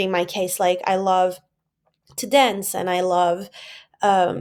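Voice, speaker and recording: A woman at a medium pitch with a Portuguese accent, in a very clean recording with a silent background. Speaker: vlogger. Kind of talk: personal vlog. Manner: casual, many fillers.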